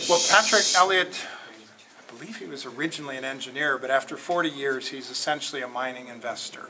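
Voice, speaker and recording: Over noticeable background noise, a man talks loudly at a very fast pace, his fairly high pitch moving with ordinary variation. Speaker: company executive. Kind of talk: public Q&A. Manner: halting.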